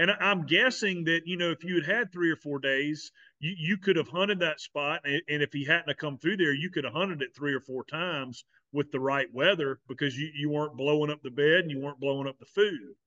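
With a Southern US accent, a man talks at a fairly quick pace. His fairly high pitch shows ordinary variation. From South Carolina. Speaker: podcast host. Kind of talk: casual chat. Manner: repeats words, halting.

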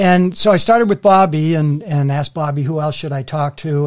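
A plain, everyday voice with an American accent speaks at a moderate pace with ordinary pitch variation. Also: man. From Massachusetts, Melrose. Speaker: author, retired banker. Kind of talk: interview.

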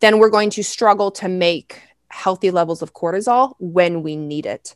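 A woman of medium pitch talks at a moderate pace with ordinary pitch variation against a quiet background. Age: 40s. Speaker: naturopathic doctor and hormone educator. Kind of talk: interview. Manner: animated.

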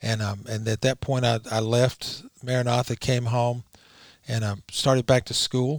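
Slow-ish, monotone delivery from a man with a Southern US accent, medium pitch and flat intonation at a fairly slow pace. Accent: Southern US (Georgia). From US South, Rome, Georgia. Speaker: lawyer. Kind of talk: interview. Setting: studio.

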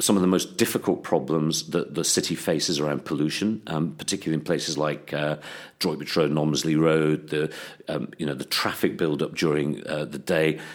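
Very deep and low, a man's voice carries vocal fry and fairly even intonation at a fairly quick pace. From England, Worcester. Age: 60s. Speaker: parliamentary candidate. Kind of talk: interview. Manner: hesitant, many fillers.

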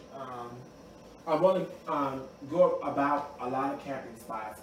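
Over audible room echo and noticeable background noise, a man with an American accent talks at a fairly high pitch. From US South, Mississippi. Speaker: podcast host being interviewed. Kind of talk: casual interview chat. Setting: livestream. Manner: halting, many fillers.

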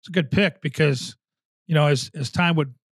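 A man speaks at a fairly quick pace with an American accent, his pitch fairly high and his voice somewhat breathy. The recording is very clean with a silent background, and the sound is dry and close with no echo. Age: 50s. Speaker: podcast host and hockey TV analyst. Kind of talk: casual interview.

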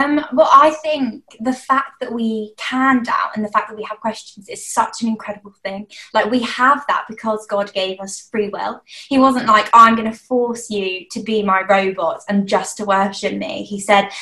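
An ordinary speaking voice from a woman, fairly high in pitch, fairly slow, with ordinary pitch variation. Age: 20s. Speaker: youth church team member. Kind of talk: casual chat.

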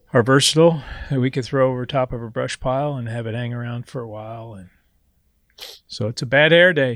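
A man with an American accent speaks fairly quickly in an unremarkable speaking voice, at a medium pitch with fairly even intonation, big swings in loudness and a quiet background. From Missouri, the Ozarks. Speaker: fly shop owner. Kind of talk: casual chat. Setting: fly shop.

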